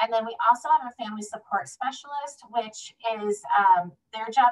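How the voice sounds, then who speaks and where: This woman's fairly high voice moves at a fairly quick pace with ordinary pitch variation. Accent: Midwestern US. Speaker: home visiting program manager. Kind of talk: presentation at online meeting. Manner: fast.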